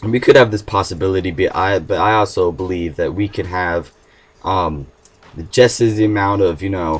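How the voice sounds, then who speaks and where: Very deep, low male speech, fairly even in intonation and moderate in pace. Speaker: gaming video host. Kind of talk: casual talk to camera. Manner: hesitant, many fillers.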